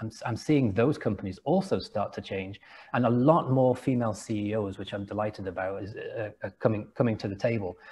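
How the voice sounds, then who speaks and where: A man with an English accent speaks at a fairly low pitch, his tone dark, mellow and somewhat breathy. The background is quiet. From England, Liverpool area. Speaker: entrepreneur and company founder. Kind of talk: interview conversation. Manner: repetitive, hesitant restarts.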